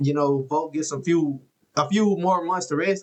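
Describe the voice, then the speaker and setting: A man's voice at a moderate pace, with fairly even intonation. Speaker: UFC content creator. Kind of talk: casual commentary recap.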